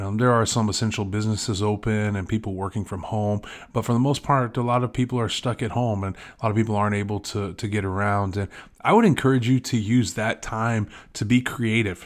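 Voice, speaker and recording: Fairly low in pitch, a man speaks at a fairly quick pace with fairly even intonation. He has a plain, everyday voice, and the recording is very clean with a silent background. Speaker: podcaster and blogger. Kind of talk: casual solo monologue. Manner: casual, rambling, filler words.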